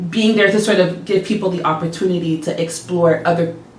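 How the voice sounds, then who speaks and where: Pitched fairly low, a woman talks at a moderate pace with fairly even intonation. Noticeable background noise and audible room echo are present. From Montreal, Canada. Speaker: musician. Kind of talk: interview. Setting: studio.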